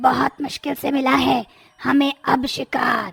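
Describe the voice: In a raspy, high, female-sounding cartoonish character voice, the speaker goes at a fairly slow pace.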